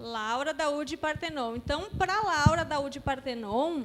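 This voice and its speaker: Speaking fairly slowly, a woman uses a high-pitched voice. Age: middle-aged. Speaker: spiritist lecturer. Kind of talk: interactive lecture.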